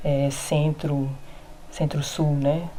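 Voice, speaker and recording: A woman's voice is somewhat breathy with a dark, mellow tone. Audible room echo surrounds it. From Brazil, Rondônia (Porto Velho). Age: 20s. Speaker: visual artist and teacher. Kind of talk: recorded testimony.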